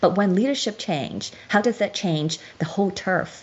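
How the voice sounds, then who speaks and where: A woman speaks at a medium pitch with a Chinese accent. Her intonation is lively. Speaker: show host explaining a legal case. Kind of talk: lecture with slides. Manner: halting.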